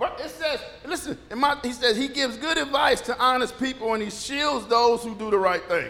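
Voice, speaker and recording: This man's voice is extremely high-pitched, raised and projected, with ordinary pitch variation. He talks at a moderate pace over noticeable background noise. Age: 60s. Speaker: pastor. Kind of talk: informal conversational sermon with scripture reading and call-and-response amens. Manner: loose, chatty and animated, with frequent repetitions, stumbles and laughter; audience-engaging, prompting amens and joking with the congregation.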